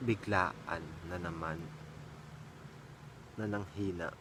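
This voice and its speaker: Over noticeable background noise and audible room echo, a man speaks in a fairly low pitch with ordinary pitch variation. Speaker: vlogger. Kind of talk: casual vlog chat. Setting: at home.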